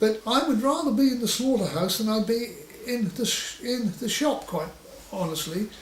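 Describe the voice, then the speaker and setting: A man's high voice comes through at a moderate tempo, its pitch varying in an ordinary way, with noticeable noise in the background. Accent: Suffolk. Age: 60s. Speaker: butcher. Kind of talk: oral history interview. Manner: halting with frequent stammers and fillers.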